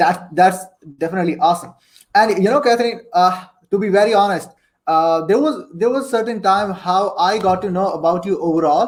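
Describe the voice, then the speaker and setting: A high-pitched man at a fairly quick pace, with ordinary pitch variation. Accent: non-native. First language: not English. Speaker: interview show host. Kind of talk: live-streamed interview. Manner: animated.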